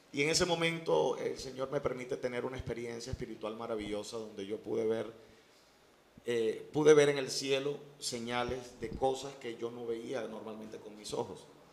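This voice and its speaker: An ordinary speaking voice from a man, medium in pitch, with fairly even intonation, big swings in loudness and a moderate pace. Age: 30s. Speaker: pastor. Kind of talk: interview testimony.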